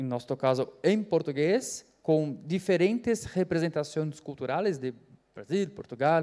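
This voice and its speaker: Lively intonation marks this fairly slow delivery. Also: man, fairly high pitch for a man. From Brazil. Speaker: panelist, AI researcher. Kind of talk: conference panel talk. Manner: halting, many fillers.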